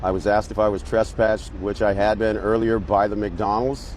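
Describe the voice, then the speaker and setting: Against noticeable background noise, a man speaks with a fairly low pitch. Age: 60s. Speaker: homeless man interviewed on the street. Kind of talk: street interview. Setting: outdoors in a city square.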